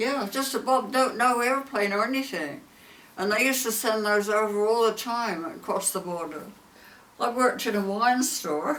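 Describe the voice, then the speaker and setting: Over noticeable background noise, a woman with an English accent speaks at a fairly high pitch. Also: ordinary pitch variation, moderate pace. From southern England. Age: 80s+. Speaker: war veteran. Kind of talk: interview answer.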